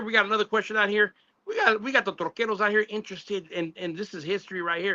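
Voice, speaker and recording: An animated, high-pitched man at a very fast pace. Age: 60s. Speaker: radio interview host. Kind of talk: interview.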